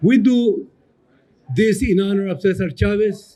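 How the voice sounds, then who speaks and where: Dark and mellow in tone, a man speaks with a high pitch. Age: 80s+. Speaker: community activist. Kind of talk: rally speech.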